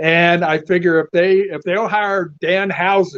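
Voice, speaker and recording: In a South Carolina accent, a man speaks at a fairly slow pace in a high voice with fairly even intonation. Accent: Southern US (South Carolina). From US South. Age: 70s. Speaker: professional wrestling manager/performer. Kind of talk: interview.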